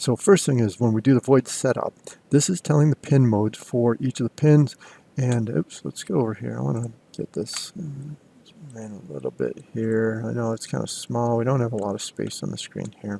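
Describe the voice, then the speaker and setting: At a moderate pace, a man speaks with lively intonation. The sound is dry and close with no echo, though noticeable background noise is present. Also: medium pitch for a man. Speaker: college instructor. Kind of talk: screen-recorded tutorial. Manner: casual with fillers.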